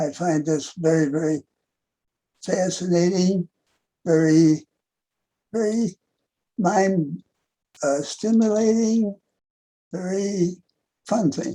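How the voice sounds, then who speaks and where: At a very slow pace with long, frequent pauses, a man speaks in a high voice with a dark, mellow tone and ordinary pitch variation. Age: 80s+. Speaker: author and war veteran. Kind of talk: interview. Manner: halting.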